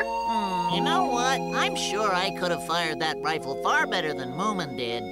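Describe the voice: A cartoonish character voice speaks at a moderate pace over loud music in the background.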